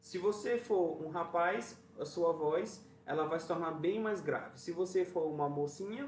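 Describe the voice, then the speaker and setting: Noticeable background noise sits behind a man with a high pitch. He speaks at a fairly slow pace. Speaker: music teacher. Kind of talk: lesson for children. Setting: video recording.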